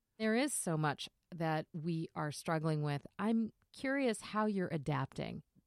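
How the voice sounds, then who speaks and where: This woman has a plain, everyday voice, pitched fairly low, with lively intonation. She talks at a fairly slow pace and keeps her loudness very even. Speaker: radio host. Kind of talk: radio interview. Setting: video call.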